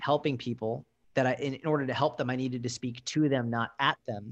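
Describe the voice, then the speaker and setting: The recording sounds dry and close with no echo as a man in an ordinary speaking voice talks at a fairly quick pace, medium in pitch with ordinary pitch variation. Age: 20s. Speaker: motivational speaker and coach. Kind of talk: casual interview.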